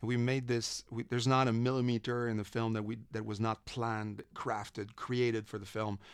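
Here a man speaks at a moderate pace and medium pitch. His intonation is monotone and flat, with hardly any pauses. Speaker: film director. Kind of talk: interview.

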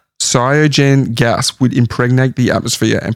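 The sound is dry and close, with no echo. A man speaks at a medium pitch and a moderate pace. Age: 40s. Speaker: podcast co-host. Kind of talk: casual chat. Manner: animated.

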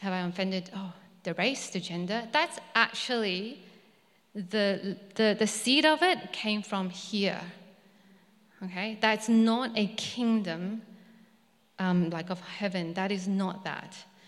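A woman speaks at a medium pitch, very slowly, with long, frequent pauses and ordinary pitch variation. Noticeable background noise and audible room echo fill the recording. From Malaysia (ethnic Chinese). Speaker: preacher. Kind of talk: sermon. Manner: halting.

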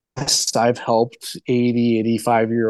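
This man has an ordinary speaking voice at a medium pitch and talks at a fairly quick pace. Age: 30s. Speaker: rehabilitation doctor. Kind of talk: interview.

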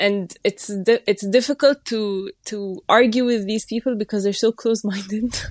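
In an Egyptian accent, a woman speaks at a moderate pace with a fairly high pitch and fairly even intonation. The background is quiet, and the sound is dry and close with no echo. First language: Arabic. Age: 20s. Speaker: gender rights researcher. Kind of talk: casual discussion.

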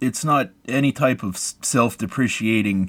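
A man with an American accent speaks at a fairly slow pace, with ordinary pitch variation and an unremarkable speaking voice. The recording is very clean, with a silent background. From US, West Virginia. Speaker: podcast co-host. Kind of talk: casual chat.

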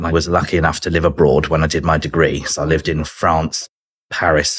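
Here a man talks at a fairly quick pace with a southern English accent. His pitch is very deep and low. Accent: British southern English. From southern England. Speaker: business development executive. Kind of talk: casual interview chat.

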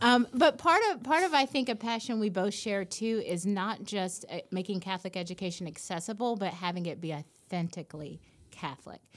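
A woman talks at medium pitch with an American accent and lively intonation. She has a plain, everyday voice and moves at a fairly quick pace with hardly any pauses. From US South, Nashville, Tennessee. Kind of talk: interview.

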